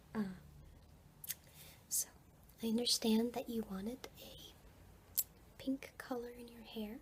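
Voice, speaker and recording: The delivery is very slow and monotone, with big swings in loudness and long, frequent pauses. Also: woman, fairly high pitch for a woman. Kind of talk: ASMR roleplay. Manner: whispered, soft-spoken.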